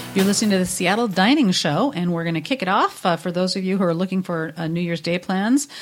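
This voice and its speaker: A woman speaks at a very fast pace with hardly any pauses, her pitch medium and its variation ordinary. Music plays in the background. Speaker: wine and food event organizer. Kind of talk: casual chat.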